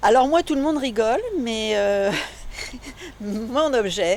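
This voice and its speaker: Speaking very slowly, a woman uses a high pitch with very wide pitch swings. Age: 60s. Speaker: amateur actor. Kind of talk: interview.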